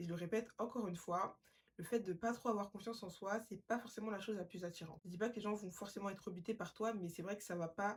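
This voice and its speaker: A somewhat breathy woman speaks at a very fast pace with fairly even intonation. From Paris, France. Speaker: podcast host. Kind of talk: self-help podcast monologue.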